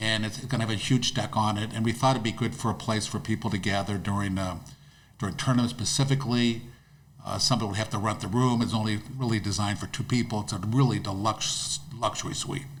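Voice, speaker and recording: Somewhat breathy, the voice moves at a very fast pace with fairly even intonation. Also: man, medium pitch for a man. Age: 70s. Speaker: disc golf course owner. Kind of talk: podcast interview. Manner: halting, repetitive.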